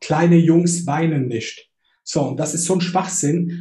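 A man with a high pitch and a dark, mellow tone speaks at a moderate pace. Audible room echo surrounds his voice. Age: 30s. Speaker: online marketer and coach. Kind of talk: casual chat.

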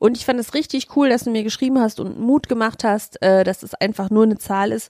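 At a moderate pace, a woman speaks with fairly even intonation in a dry, close sound with no echo. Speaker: podcast co-host. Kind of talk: casual chat.

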